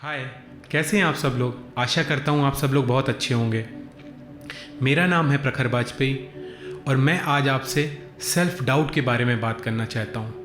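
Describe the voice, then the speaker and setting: Music plays behind a man speaking at medium pitch with ordinary pitch variation. He leaves long, frequent pauses. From India. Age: 30s. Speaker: motivational speaker. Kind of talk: motivational talk. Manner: halting, many fillers.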